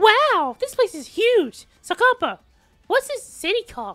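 Faint music sits in the background while a man uses a put-on character voice at an extremely high pitch and a moderate pace. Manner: cheery, upbeat.

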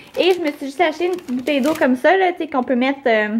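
A woman speaks very fast, her pitch varying in an ordinary way. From Quebec. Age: young. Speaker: beauty vlogger. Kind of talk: casual vlog. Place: kitchen. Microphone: phone near.

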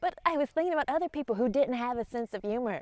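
Talking at a very fast pace in an upbeat tone, a woman swings her pitch very widely in a dry sound with no echo. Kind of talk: casual, encouraging talk to camera. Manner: upbeat, friendly. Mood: warm, cheerful, smiling. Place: open country. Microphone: lapel.

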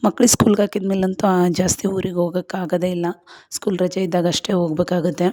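Her dark, mellow tone sits at a medium pitch for a woman, delivered with flat, monotone intonation. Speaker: vlogger. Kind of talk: casual vlog narration. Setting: outdoors, farm field.

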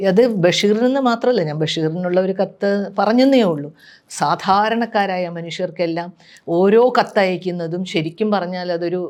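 A woman with an ordinary speaking voice, medium pitch and ordinary pitch variation, in a very clean recording with a silent background. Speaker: writer. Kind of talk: personal reminiscence.

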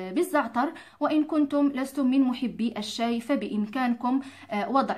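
A woman's high voice keeps a fairly slow pace and a fairly even intonation. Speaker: cooking and home remedy video host. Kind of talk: tutorial. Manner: neutral simplified dialect.

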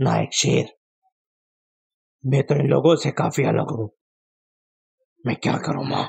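A man does a cartoonish character voice, raspy and at medium pitch. He keeps a moderate pace. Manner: sad, unsure.

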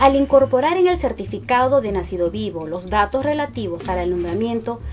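Background music is present throughout. The delivery moves at a moderate pace. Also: woman. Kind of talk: government informational video narration.

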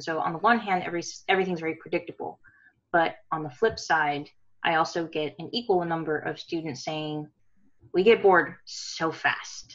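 In an ordinary speaking voice, a woman with a fairly low pitch talks at a moderate pace, with ordinary pitch variation, big swings in loudness and a quiet background. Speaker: university instructor. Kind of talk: workshop question. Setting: video call. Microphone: video call.

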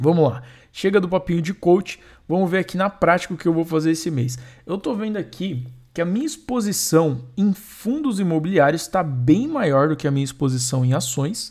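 This man has a high pitch and speaks at a moderate pace with lively intonation. His tone is animated, and the background is quiet. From Brazil. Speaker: investing and NFT games youtuber; NFT games youtuber. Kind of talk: casual vlog tutorial. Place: home room.

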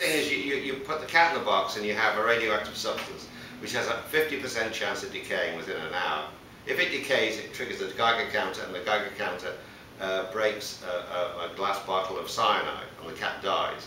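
A man speaks at a fairly quick pace. There is audible room echo and light background noise. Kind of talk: casual explanatory conversation. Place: studio.

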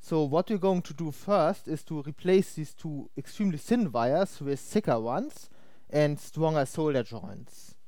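Against a quiet background, the voice moves at a fairly slow pace with a dry sound that has no echo. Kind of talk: tutorial. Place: home room.

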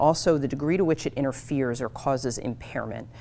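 Music can be heard behind a woman. Her voice sits very deep and low in pitch. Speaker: guest. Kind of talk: lecture. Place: hall.

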